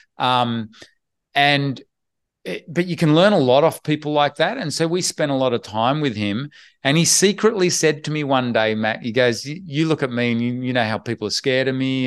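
With an Australian accent, a man speaks at a medium pitch and moderate pace with lively intonation against a quiet background. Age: 50s. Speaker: online business investor and educator. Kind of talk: interview.

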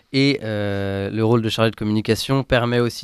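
Fairly deep male voice delivered at an average pace. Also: very clean recording, silent background. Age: 20s. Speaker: former volunteer, communications student. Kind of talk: testimony. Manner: halting, many hesitations.

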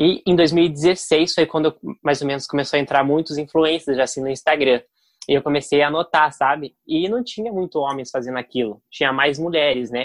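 Over a quiet background, a man with a normal speaking voice and fairly high pitch talks at a moderate pace with ordinary pitch variation, the sound dry and close with no echo. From Brazil, Curitiba. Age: 20s. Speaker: digital influencer. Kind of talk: interview.

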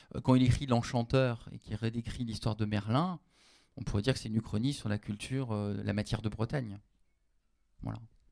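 Here a man talks fairly quickly at a medium pitch, his tone dark and mellow. His intonation stays fairly even, broken by long, frequent pauses. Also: very clean recording, silent background. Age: 40s. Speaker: university lecturer and novelist. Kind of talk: public panel discussion. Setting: stage with audience.

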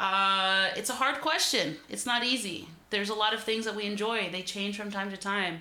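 A woman with an American accent talks at a fairly quick pace and medium pitch, with audible room echo. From Greater Boston, US Northeast. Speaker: podcast host and barber. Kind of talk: casual chat. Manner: casual, filler-heavy.

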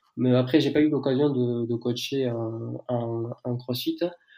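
This man's voice has a dark, mellow tone at a medium pitch. He talks at a fairly slow pace with monotone, flat intonation. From southern France. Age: 20s. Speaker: fitness brand founder and coach. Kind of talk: casual interview. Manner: halting.

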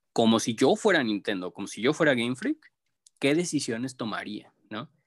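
A man with a normal speaking voice at a medium pitch talks with lively intonation, recorded dry and close with no echo against a quiet background. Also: big swings in loudness. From Mexico, Jalisco (raised in Guadalajara area, born in Durango). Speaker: graphic artist. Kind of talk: casual chat.

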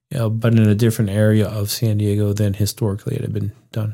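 A man with a dark, mellow tone speaks at a fairly quick pace in a very clean recording with a silent background. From Pittsburgh, Pennsylvania. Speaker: doctor and winemaker. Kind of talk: casual interview.

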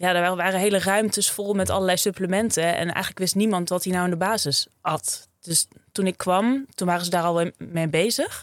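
Recorded very cleanly against a silent background, a woman speaks at a medium pitch with fairly even intonation, the sound dry and close with no echo. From Friesland, Netherlands. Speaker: sports dietitian. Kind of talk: interview.

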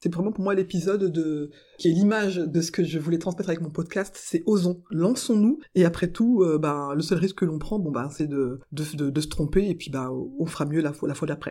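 A woman with a dark, mellow tone and fairly low pitch speaks at a moderate pace with ordinary pitch variation and hardly any pauses, in a very clean recording with a silent background. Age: 40s. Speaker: podcaster and civil servant. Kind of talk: interview monologue. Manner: halting with frequent hesitations.

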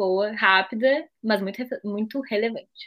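Someone talks in a normal speaking voice, keeping a moderate pace. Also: woman. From southern Brazil, Pelotas. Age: 20s. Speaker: podcast co-host, university student. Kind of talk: casual chat.

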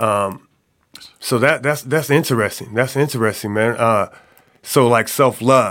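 A man speaks in an ordinary speaking voice at a medium pitch, with ordinary pitch variation and very even loudness. His pace is fairly slow, and the recording is very clean with a silent background. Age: 40s. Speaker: podcast host and basketball coach. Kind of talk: casual interview chat.

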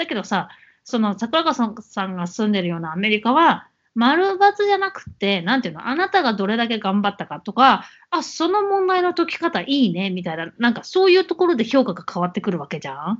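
A woman with a fairly high pitch, very wide pitch swings and a fairly quick pace. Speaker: podcast co-host. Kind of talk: casual chat.

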